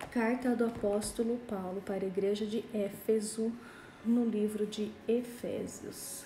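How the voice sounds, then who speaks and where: Amid noticeable background noise and audible room echo, a woman speaks at a fairly slow pace with a fairly high pitch in a monotone, flat intonation. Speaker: pastor. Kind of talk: Bible study livestream. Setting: Instagram live.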